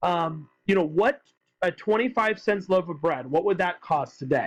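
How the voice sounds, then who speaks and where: A man speaks loudly at a moderate pace. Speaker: high school economics teacher. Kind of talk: lecture. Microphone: tablet recording, may sound weird or quiet.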